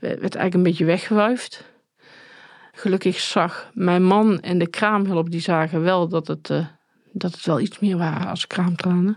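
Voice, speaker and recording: Delivered fairly slowly, the speech keeps a fairly even intonation. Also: woman, medium pitch for a woman. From Netherlands, Tilburg area (North Brabant). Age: 40s. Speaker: survivor and perpetrator of domestic violence. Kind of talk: personal testimony interview. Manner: halting, many hesitations.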